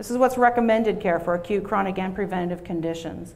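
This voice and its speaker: With a Pennsylvania accent, a woman of medium pitch talks very fast with fairly even intonation. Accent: Pennsylvania American. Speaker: health system director. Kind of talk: keynote presentation.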